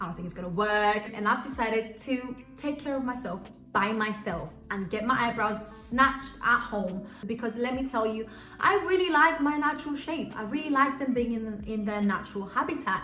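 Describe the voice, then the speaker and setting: A woman speaks in an animated tone with lively intonation at a fairly high pitch. Audible room echo and noticeable background noise fill the recording. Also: moderate pace. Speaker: beauty YouTuber. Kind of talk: casual tutorial vlog.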